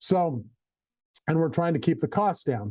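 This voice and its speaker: The background stays quiet. A man talks in a dark, mellow tone. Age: 70s. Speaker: company founder. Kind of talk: company video message. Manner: halting.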